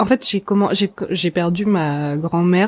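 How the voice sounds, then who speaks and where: A woman talks in an ordinary speaking voice, fairly low in pitch with ordinary pitch variation. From Alsace, France. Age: 20s. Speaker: podcaster. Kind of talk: interview.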